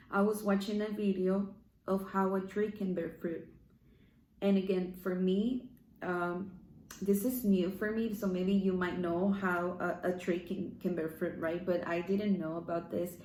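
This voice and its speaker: A woman with a Spanish accent speaks at a medium pitch in a dark, mellow tone, using a monotone, flat intonation, a fairly slow pace and long, frequent pauses, with audible room echo around her. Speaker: online devotional speaker. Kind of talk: devotional talk. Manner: halting.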